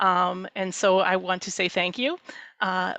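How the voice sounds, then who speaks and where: A woman's voice with a bright, sharp tone comes through over a quiet background. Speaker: church mission executive. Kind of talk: presentation Q&A. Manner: fast.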